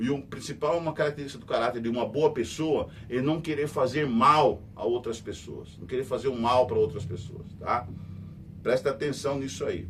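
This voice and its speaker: Moderate in pace, the man's voice holds a medium pitch with ordinary pitch variation. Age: 60s. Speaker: radio host and news commentator. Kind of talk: news commentary monologue. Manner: conversational, repetitive emphatic.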